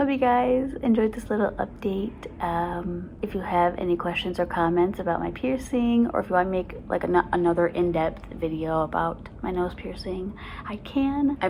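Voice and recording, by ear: With hardly any pauses, the speaker keeps a moderate pace and lively intonation over noticeable background noise. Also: woman, medium pitch for a woman.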